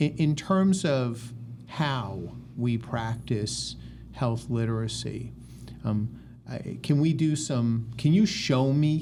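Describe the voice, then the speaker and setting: The voice is somewhat breathy with a dark, mellow tone and an American accent, its intonation lively. It moves at a very slow pace with long, frequent pauses, and the room echo is audible. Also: man, medium pitch for a man. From US Northeast, New York City. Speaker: physician and research institute medical director. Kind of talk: interview.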